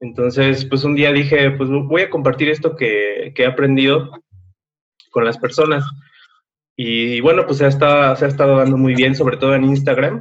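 This man has a plain, everyday voice with a fairly high pitch. He keeps a moderate pace and fairly even intonation. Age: 20s. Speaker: content creator and podcaster. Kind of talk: casual interview.

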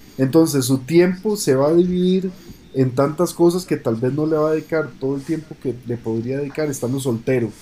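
Using a dark, mellow tone and fairly high pitch, a man talks at a moderate pace, his pitch varying in an ordinary way. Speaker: podcast co-host, engineer. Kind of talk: casual chat.

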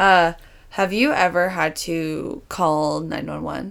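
This is a very clean recording with a silent background. A woman is speaking. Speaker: dance instructor and podcast host. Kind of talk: casual chat.

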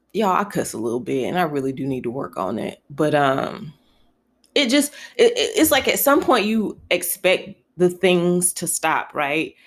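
On a very clean recording with a silent background, a woman with an American accent speaks at a moderate pace. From North Carolina (Elm City); later Buffalo, New York. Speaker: podcast host. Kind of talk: casual solo podcast monologue. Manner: conversational, with frequent fillers.

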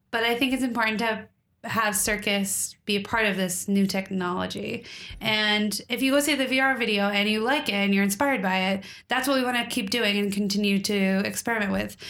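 Mumbling at a fairly quick pace, a woman speaks in a bright, sharp tone at medium pitch, with fairly even intonation and very even loudness. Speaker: podcast co-host. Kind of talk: casual chat. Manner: clear, trained delivery without mumbling.

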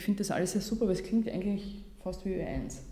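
A woman's monotone, flat delivery at a fairly quick pace, with audible room echo and noticeable background noise. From Austria, Vienna and Vorarlberg. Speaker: journalist and podcaster. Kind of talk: workshop talk. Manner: polished radio-style delivery; hesitant with fillers.

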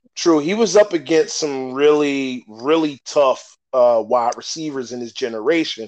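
An unremarkable speaking voice, a man's at fairly high pitch, has lively intonation and big swings in loudness. He goes at a fairly slow pace with hardly any pauses. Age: 40s. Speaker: sports podcast host. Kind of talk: casual chat.

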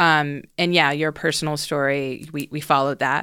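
This voice carries an American accent. The recording sounds dry and close, without echo. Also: woman, very clean recording, silent background. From US South, Houston, Texas. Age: 40s. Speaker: documentary director. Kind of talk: casual chat. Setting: studio.

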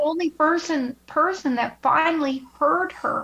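At a fairly slow pace, a woman speaks with a high pitch, ordinary pitch variation, a fairly bright tone and vocal fry.

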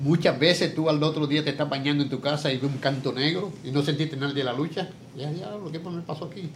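A very fast male voice, fairly high for a man, with audible room echo. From Puerto Rico, San Lorenzo. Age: 70s. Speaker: retired professional wrestler. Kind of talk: interview.

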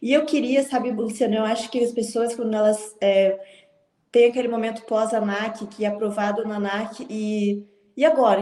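This woman has a normal speaking voice, pitched fairly high. She keeps a moderate pace and fairly even intonation. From Porto Alegre, southern Brazil. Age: 20s. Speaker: flight attendant. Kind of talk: interview. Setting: live stream.

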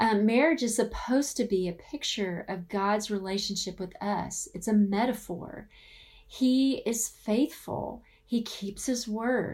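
Speaking with a Southern US accent, a woman talks at a fairly slow pace. Her pitch variation is ordinary. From US South. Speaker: author and marriage speaker. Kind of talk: conference talk.

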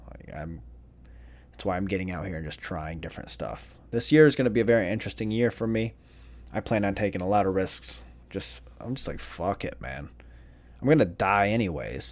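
At a fairly quick pace, a man with a fairly low pitch and vocal fry shows very wide pitch swings and big swings in loudness. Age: 30s. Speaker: solo podcaster. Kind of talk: casual solo monologue.

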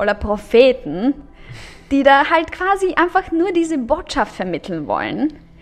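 Music plays in the background as a woman with a Bulgarian accent speaks at a very slow pace, her pitch swinging very widely. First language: Bulgarian (speaking German). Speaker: author and social media creator. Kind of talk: casual chat.

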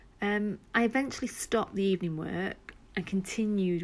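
A woman with an English accent, medium pitch, fairly even intonation and a moderate pace. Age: 40s. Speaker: podcaster and job seeker. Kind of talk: personal monologue. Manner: hesitant, with fillers.

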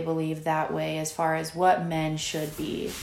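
A woman is speaking. Audible room echo fills the recording. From Virginia. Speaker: podcast host. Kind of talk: interview.

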